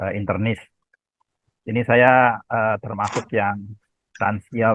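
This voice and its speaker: This man has a fairly low pitch and a monotone, flat intonation. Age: 70s. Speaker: retiree asking doctor questions. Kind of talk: video call health Q&A question. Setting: video call.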